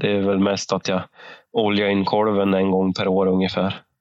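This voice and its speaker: A man with a fairly low-pitched voice. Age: 30s. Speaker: podcast co-host, hunter. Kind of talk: casual chat.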